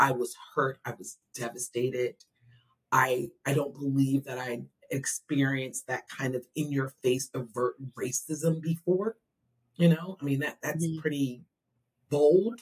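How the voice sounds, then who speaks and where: A woman with a very deep, low pitch speaks at a fairly slow pace, somewhat breathy, her loudness swinging widely. The sound is dry and close with no echo, and her pitch varies in an ordinary way. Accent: American. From New Jersey, near Philadelphia. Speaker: special education advocate. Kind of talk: interview.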